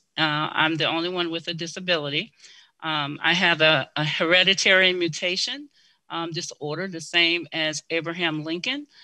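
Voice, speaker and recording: In an American accent, a woman speaks at a moderate pace and fairly low pitch with fairly even intonation and a bright, sharp tone. The recording is very clean, with a silent background. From US South, Mississippi. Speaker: blind advocate and government worker. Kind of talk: interview. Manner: hesitant with many fillers.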